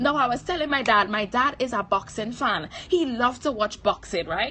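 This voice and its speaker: A woman with a high pitch talks at a fairly slow pace in an animated tone. Her pitch swings very widely, and there is noticeable background noise. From Trinidad. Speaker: motivational speaker / livestream host. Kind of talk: motivational livestream talk. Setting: live stream.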